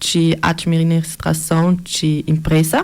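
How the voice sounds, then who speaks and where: A woman's voice, fairly low in pitch. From Switzerland. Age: 20s. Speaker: municipal social worker. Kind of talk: radio interview.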